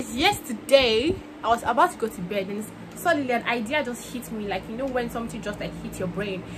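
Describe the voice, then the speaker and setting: A woman with a Nigerian accent talks at a fairly quick pace with a fairly high pitch and lively intonation. Her loudness swings widely over noticeable background noise. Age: young. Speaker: university student. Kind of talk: casual talk to camera.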